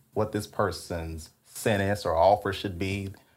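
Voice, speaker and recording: With a Louisiana accent, a man speaks in a fairly low, somewhat breathy voice at a moderate pace with fairly even intonation, on a very clean recording with a silent background. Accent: Louisiana Southern. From Louisiana, Alexandria (Rapides Parish). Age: 30s. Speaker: former prosecutor and DA candidate. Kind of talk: interview. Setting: hotel room.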